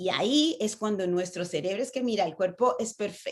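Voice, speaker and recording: A woman with lively intonation, at a moderate pace. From Latin America. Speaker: public speaking coach. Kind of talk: online conference talk. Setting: video call. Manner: animated.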